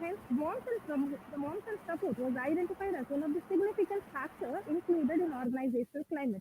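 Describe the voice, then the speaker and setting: A woman speaks at a very fast pace in a high voice with very wide pitch swings, over noticeable background noise. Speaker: conference presenter. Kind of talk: conference presentation. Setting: video call.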